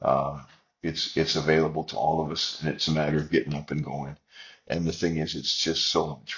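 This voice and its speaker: His voice is very deep and low, with vocal fry. The man speaks in a flat monotone at a fairly quick pace. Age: 70s. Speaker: missionary. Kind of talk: interview.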